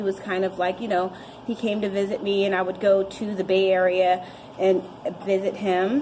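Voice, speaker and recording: At a moderate pace, a woman's voice comes through noticeable background noise. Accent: Californian. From Santa Cruz, California. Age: 30s. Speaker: recovering alcoholic. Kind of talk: personal recovery story talk.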